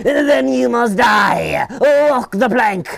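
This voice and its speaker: Shouting in a put-on character voice, a man pitches himself high. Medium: read story. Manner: bold, bossy.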